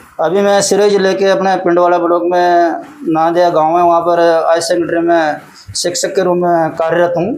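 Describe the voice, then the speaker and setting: A man speaks in a high, monotone voice with flat intonation and very even loudness. Noticeable background noise and audible room echo fill the recording. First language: Hadoti (Rajasthani) (speaking Hindi). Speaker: poet and school teacher. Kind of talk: interview.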